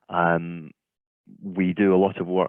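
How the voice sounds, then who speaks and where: A man speaks with a Scottish accent. His voice sits very deep and low. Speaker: offshore wind consultant. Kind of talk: keynote presentation. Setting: video call webinar.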